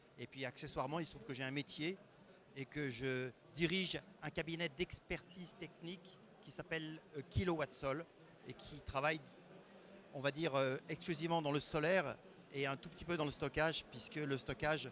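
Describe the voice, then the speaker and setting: Pausing often and at length, a man with a fairly high voice talks at a moderate pace while his loudness swings widely. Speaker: renewable energy expert. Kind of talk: conference talk. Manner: hesitant, with fillers.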